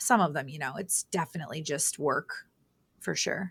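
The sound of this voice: Low-pitched with vocal fry and a slightly husky edge, a woman talks at a moderate pace with ordinary pitch variation.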